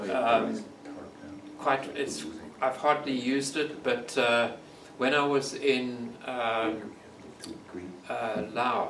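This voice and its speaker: With a South African accent, a man speaks very slowly at a medium pitch, his intonation fairly even and his speech broken by long, frequent pauses, with noticeable background noise behind him. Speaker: long-distance bike touring nomad. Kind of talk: storytelling talk to audience. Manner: thoughtful.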